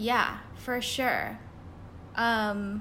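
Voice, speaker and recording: A woman speaks with a Californian accent. Her voice sits fairly high. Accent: Californian American. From US West Coast, Pasadena, California. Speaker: designer and illustrator. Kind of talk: casual interview.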